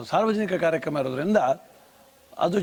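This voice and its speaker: Noticeable background noise lies behind speech with ordinary pitch variation. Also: man. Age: old. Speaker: folk singer. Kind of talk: interview.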